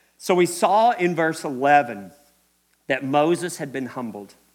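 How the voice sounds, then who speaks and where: An animated man with a Kentucky accent, fairly high in pitch, with lively intonation and a fairly slow pace, in a very clean recording against a silent background. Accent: Kentucky Southern US. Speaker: preacher. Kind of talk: sermon. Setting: church.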